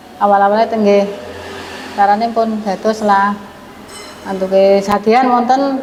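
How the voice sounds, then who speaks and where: With a Javanese accent, a woman speaks at a fairly slow pace and fairly high pitch. Her intonation is fairly even, set against noticeable background noise. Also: long, frequent pauses, very even loudness. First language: Javanese (speaking Indonesian). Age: 60s. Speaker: satay seller. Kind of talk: interview testimony.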